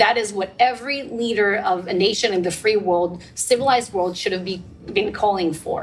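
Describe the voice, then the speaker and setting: There is noticeable background noise. A woman talks at a moderate pace. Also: medium pitch for a woman, ordinary pitch variation. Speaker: government spokesperson. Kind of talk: panel discussion.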